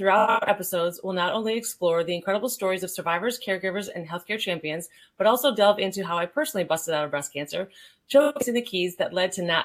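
A woman with a New England accent talks at a very fast pace and medium pitch, with lively intonation. The recording is very clean and the background silent. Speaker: podcast host. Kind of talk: upbeat, scripted podcast intro. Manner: fast talker.

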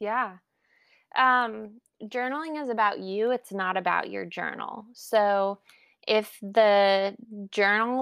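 With a plain, everyday voice at medium pitch, a woman talks in fairly even intonation against a quiet background. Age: 30s. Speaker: journaling enthusiast interviewee. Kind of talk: casual interview.

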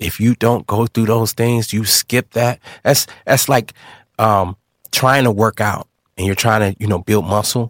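The recording is very clean with a silent background, and the sound is dry and close with no echo. A man with an American accent and an unremarkable speaking voice talks at a fairly slow pace, medium in pitch, with fairly even intonation. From Illinois, Kankakee and Joliet. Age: 30s. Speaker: apparel brand founder, survivor. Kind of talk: life story testimony. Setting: studio.

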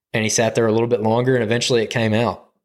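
With an Alabama accent, a man speaks at a medium pitch on a very clean recording with a silent background. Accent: US Southern (Alabama). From Alabama, Birmingham area. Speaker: hunting podcast co-host. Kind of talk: casual chat. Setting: studio.

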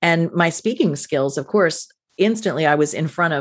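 A woman with an American accent and an unremarkable speaking voice, fairly low in pitch, fairly quick in pace, with ordinary pitch variation over a quiet background. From New Jersey, US. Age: 50s. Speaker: podcast host, former TV news anchor, business owner. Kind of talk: interview answers, casual chat.

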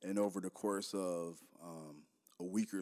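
The voice has an American accent. Its intonation is monotone and flat. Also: man. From Detroit, Michigan. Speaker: podcast host. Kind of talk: solo podcast monologue.

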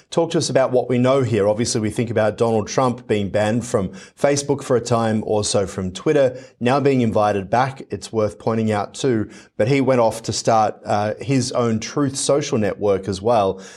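A man's medium-pitched voice in an Australian accent, at a moderate pace with hardly any pauses and ordinary pitch variation, in a very clean recording with a silent background. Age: 40s. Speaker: news anchor. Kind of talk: news interview.

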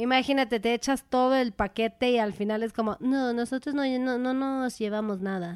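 On a very clean recording with a silent background, a woman talks at a moderate pace in a high voice. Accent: Mexican. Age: 30s. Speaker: podcast co-host. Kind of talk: casual chat.

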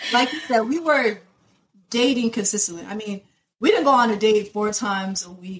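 Using an ordinary speaking voice, a woman talks at a moderate pace, her fairly high pitch showing ordinary variation. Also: big swings in loudness. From US, South Florida (born in Nigeria). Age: 20s. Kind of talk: casual interview, personal testimony.

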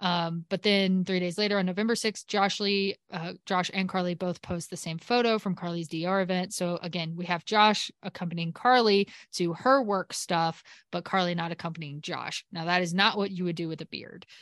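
A woman with a normal speaking voice talks at medium pitch and a moderate pace, with hardly any pauses. Her intonation is fairly even, and the background is quiet. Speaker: podcast host. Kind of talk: casual chat. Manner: chatty, joking.

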